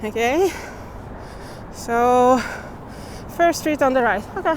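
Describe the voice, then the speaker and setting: The speaker has a non-native accent and lively intonation. Delivery comes at a fairly slow pace over noticeable background noise. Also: woman. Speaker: walking-tour vlogger. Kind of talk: casual vlog narration while walking. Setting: outdoors, walking city streets. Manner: casual, chatty, thinking aloud.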